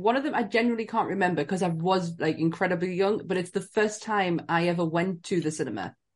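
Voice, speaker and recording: A woman speaks at a medium pitch with a northern English accent. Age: 40s. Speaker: podcast co-host. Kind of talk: casual chat.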